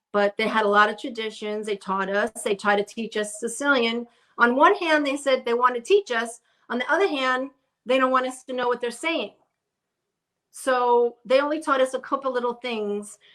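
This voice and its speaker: Bright and sharp in tone, a woman with a New York accent speaks at a high pitch and a moderate pace. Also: ordinary pitch variation. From Brooklyn, New York. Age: 60s. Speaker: interview guest. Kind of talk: casual interview chat. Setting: live stream video call. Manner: halting.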